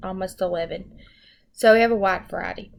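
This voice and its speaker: This woman speaks with a Southern US accent. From US South, Arkansas. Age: 20s. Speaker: education student. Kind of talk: self-introduction. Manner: hesitant, many ums.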